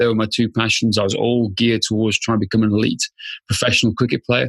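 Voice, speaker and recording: At a fairly quick pace, a speaker with a Welsh accent is heard against a quiet background with a dry, close sound and no echo. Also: man. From Wales, rural Machynlleth area. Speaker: fitness business founder, former police officer. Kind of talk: podcast interview.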